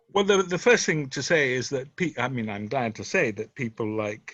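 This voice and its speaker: Lively intonation in an English accent against a quiet background. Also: man. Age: 70s. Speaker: author and retired doctor. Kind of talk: interview conversation. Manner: hesitant, many fillers.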